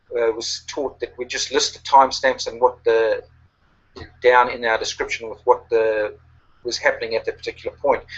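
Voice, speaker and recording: A man with a New Zealand accent talks with big swings in loudness. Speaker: online marketing coach. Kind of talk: webinar presentation. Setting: online webinar. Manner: halting, many fillers.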